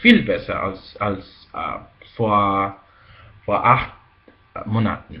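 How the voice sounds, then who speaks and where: A man's medium-pitched voice at a very slow pace, with very wide pitch swings. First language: Spanish. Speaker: language teacher. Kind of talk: casual talk to camera. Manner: hesitant, many fillers.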